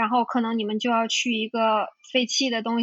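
Her voice, a woman's, sits at a high pitch. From China. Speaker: urban explorer and writer. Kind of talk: interview.

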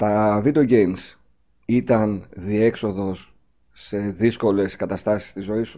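Very slowly, a man speaks in a fairly low, dark, mellow voice whose loudness swings widely. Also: ordinary pitch variation. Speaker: podcast host. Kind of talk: interview.

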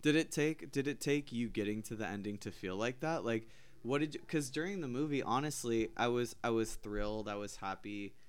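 In a very clean recording with a silent background, a man speaks fairly quickly with hardly any pauses, in an animated tone at medium pitch with ordinary variation. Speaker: podcast host. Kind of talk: casual chat. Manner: joking, animated.

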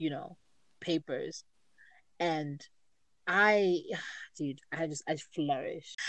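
A woman talks at a very slow pace. She leaves long pauses often. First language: not English. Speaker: podcast co-host and poet. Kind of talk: casual chat.

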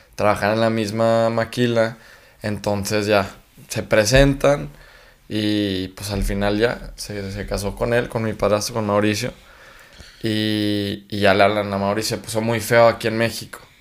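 A man's monotone, flat voice at a fairly slow pace. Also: fairly low pitch for a man. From Mexico, Chihuahua. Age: young. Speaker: singer. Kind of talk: casual interview.

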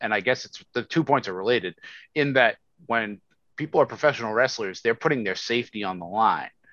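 At a fairly quick pace, a man with a plain, everyday voice talks at medium pitch with ordinary pitch variation, dry and close with no echo over a quiet background. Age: 40s. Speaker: podcast host. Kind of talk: casual chat.

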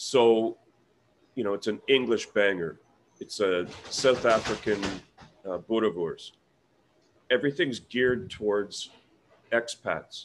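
A man with a Canadian accent speaks at a fairly slow pace and medium pitch. His pitch varies in an ordinary way, and he leaves long, frequent pauses. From Canada, Ontario (Peterborough). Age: 50s. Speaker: sausage maker and expat business owner. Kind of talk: casual interview.

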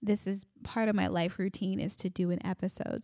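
Talking at a fairly slow pace, a woman with an American accent has a medium pitch and a dark, mellow tone. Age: 30s. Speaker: podcast host. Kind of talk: solo podcast monologue. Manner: animated.

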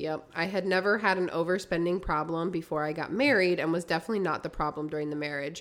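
At a fairly quick pace, a woman with a fairly low pitch speaks over noticeable background noise. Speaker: podcast host. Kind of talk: casual chat, reading listener stories aloud.

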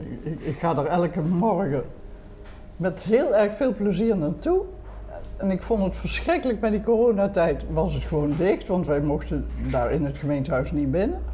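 There is noticeable background noise. A woman talks over it at a moderate pace. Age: 80s+. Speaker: retired civil servant, grandmother. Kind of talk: casual chat. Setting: restaurant.

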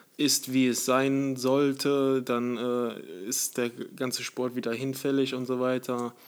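Intonation stays monotone and flat as a man speaks. His pace is very slow. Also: medium pitch for a man. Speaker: podcast co-host, former bodybuilding athlete. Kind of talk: casual chat.

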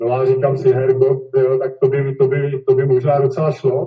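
Fairly high-pitched, somewhat breathy male voice at a moderate pace, with fairly even intonation. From Czech Republic, Kladno. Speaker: volleyball player. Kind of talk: interview. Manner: halting.

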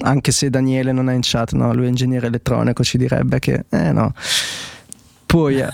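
With noticeable background noise, a man keeps a very even loudness and a fairly quick pace, broken up by long, frequent pauses. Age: 20s. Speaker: podcast host. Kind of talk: casual technical discussion livestream.

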